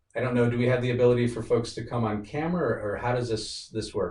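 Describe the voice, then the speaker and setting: A man's somewhat breathy, medium-pitched voice at a very fast pace, with audible room echo. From rural Wyoming, US. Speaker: guest speaker at workplace diversity event. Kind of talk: presentation with Q&A.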